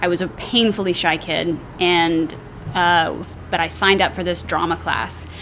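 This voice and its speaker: The speaker talks at a moderate pace with an American accent and fairly even intonation, against noticeable background noise. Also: woman, fairly low pitch for a woman. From US South, North Texas (Dallas area). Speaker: actress. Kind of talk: casual chat.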